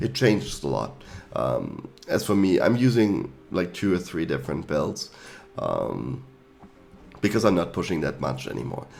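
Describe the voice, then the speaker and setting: A man's very deep, low voice in a German accent, with very wide pitch swings at a moderate pace, music in the background. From Germany. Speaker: gaming YouTuber. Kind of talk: tutorial. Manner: hesitant, with fillers.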